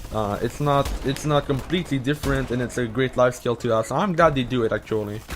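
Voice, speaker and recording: A man speaks at a very fast pace with hardly any pauses, his medium pitch showing ordinary variation, over noticeable background noise. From Quebec. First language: French. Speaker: gaming YouTuber answering Reddit questions. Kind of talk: casual monologue to camera. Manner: halting, many fillers and restarts.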